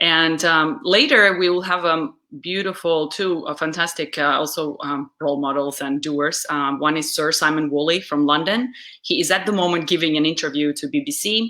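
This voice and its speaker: A woman's fairly low, bright, sharp voice at a moderate pace with ordinary pitch variation. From Uzbekistan. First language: Russian. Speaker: public speaker and webcast host. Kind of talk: live webcast interview. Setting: live video stream.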